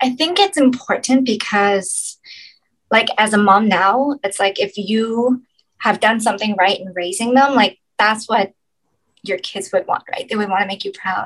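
Fairly high-pitched female speech in a plain, everyday voice, moderate in pace, ordinary pitch variation throughout. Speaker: model and actress. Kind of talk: casual chat.

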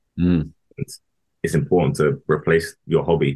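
A man with a London accent and a very deep, low pitch. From London, Harrow. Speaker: former footballer. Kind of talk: interview. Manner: halting.

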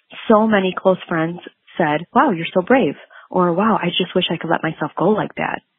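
A woman at medium pitch, in a plain, everyday voice. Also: ordinary pitch variation, moderate pace. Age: 30s. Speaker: podcast listener leaving a voicemail. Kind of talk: recorded voicemail.

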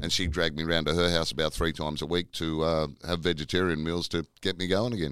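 With an Australian accent, a man speaks at a very fast pace in a very deep, low pitch, his intonation fairly even and his speech having hardly any pauses. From Tasmania, Australia. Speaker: comedian. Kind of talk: casual chat.

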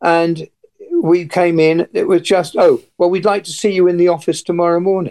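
A man's high voice in an English accent, at a moderate pace. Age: 80s. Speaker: retired airline pilot. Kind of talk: interview recounting past events. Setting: radio interview.

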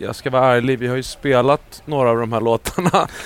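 A man's voice at a medium pitch. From Sweden. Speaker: singer and percussionist. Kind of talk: casual chat. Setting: stage with audience.

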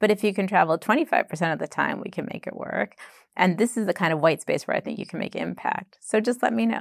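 Very fast delivery with an American accent, vocal fry and very wide pitch swings, in a very clean recording with a silent background and a dry, close sound with no echo. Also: woman, medium pitch for a woman. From Boston, US. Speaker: chief operations officer at a digital bank. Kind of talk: casual interview conversation. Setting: in-person interview at her office.

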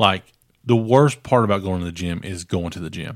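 A man's unremarkable speaking voice, fairly low in pitch with ordinary variation, at a moderate pace in a very clean recording with a silent background. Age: 40s. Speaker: podcast co-host. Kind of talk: casual chat.

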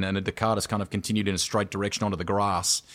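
A man speaks with an Australian accent. His pitch is fairly low. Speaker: motorsports commentator. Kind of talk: casual chat.

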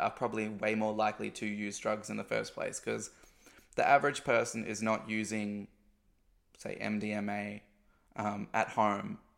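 A man with an Australian accent, fairly low in pitch, at a moderate pace, on a very clean recording with a silent background. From Australia, country town. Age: 20s. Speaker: podcast host. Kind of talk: casual monologue.

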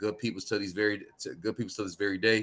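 A man with an American accent talks at a fairly low pitch. His tone is bright and sharp. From Connecticut, US. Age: young. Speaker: music producer and youth coach. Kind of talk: casual interview.

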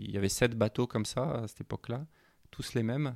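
Recorded very clean against a silent background, a man's voice sounds dry and close with no echo. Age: 50s. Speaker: offshore sailor. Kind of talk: interview. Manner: halting.

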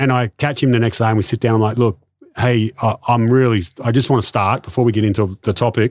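Very fast speech in an Australian accent, dry and close with no echo, on a very clean recording with a silent background. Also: man. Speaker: sports performance coach. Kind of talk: casual interview chat. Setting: in person.

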